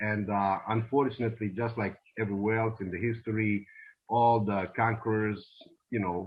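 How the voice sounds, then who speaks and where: A man's fairly low, monotone voice with flat intonation, a slight Bosnian accent and a moderate pace. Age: 20s. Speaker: immigrant interviewee. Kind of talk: interview.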